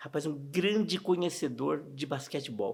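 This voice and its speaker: A man's fairly high voice with vocal fry and ordinary pitch variation, on a very clean recording with a silent background. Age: 60s. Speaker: interviewee recalling local sports history. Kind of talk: documentary interview. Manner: casual, conversational.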